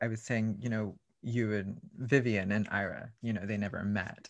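A man talks in an ordinary speaking voice with an American accent. His pitch is medium and his pace moderate. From South Texas. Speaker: drag performer. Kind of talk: casual chat.

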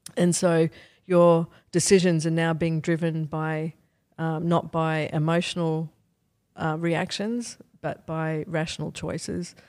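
Speaking in an Australian accent, a woman has a fairly low pitch and talks at a fairly slow pace with monotone, flat intonation. The recording is very clean against a silent background. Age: 50s. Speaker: neuroscience professor. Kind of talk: interview.

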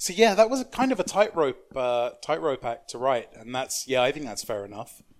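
A man with a London accent speaks at a moderate pace and medium pitch, with hardly any pauses. His pitch swings very widely in a very clean recording with a silent background. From South East London, England. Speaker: novelist. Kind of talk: casual chat.

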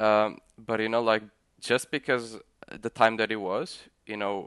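The sound is dry and close with no echo and a quiet background as a man speaks at a fairly quick pace and medium pitch. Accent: Portuguese. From Portugal. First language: Portuguese. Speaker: crypto protocol founder and CTO. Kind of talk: casual interview. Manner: halting, many fillers and repetitions.

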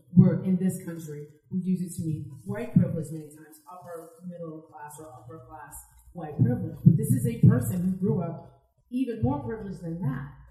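With music in the background and audible room echo, a woman with an American accent talks at a fairly quick pace. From New Jersey, US. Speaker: comic con panelist and podcaster. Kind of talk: panel discussion. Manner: animated.

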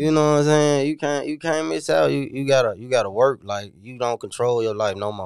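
Speaking with an American accent, a man talks at a medium pitch and a fairly quick pace. His intonation is lively, and he takes hardly any pauses. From US South, Memphis area (Whitehaven). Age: 20s. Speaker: former prisoner turned college student. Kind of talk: interview.

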